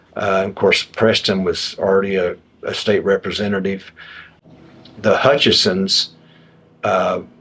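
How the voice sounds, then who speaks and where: Background noise is noticeable behind a man with an American accent. He talks at a fairly slow pace with long, frequent pauses. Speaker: former state representative and highway commissioner. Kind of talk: oral history interview answer. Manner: conversational, reflective.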